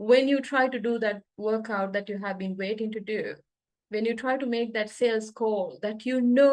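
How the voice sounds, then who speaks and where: Her voice, a woman's, has a fairly high pitch and ordinary pitch variation. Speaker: NLP coach and trainer. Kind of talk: online coaching talk. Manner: fast.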